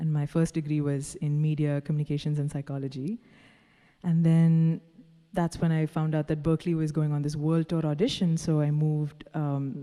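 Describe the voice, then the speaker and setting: In a Tamil accent, a woman speaks with a very deep, low pitch and a dark, mellow tone. Her intonation is flat and monotone at a moderate pace, on a very clean recording with a silent background. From Dubai, Indian family from Kerala. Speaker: singer-songwriter. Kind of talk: interview.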